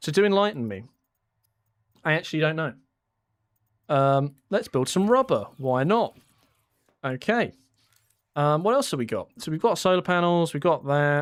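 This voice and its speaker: With a British accent, a man speaks at a moderate pace and fairly high pitch, making very wide pitch swings. Long, frequent pauses break up his speech on a very clean recording with a silent background. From Britain. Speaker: gaming YouTuber streaming. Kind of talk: casual live-stream chat while gaming. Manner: casual, with frequent fillers and repeats.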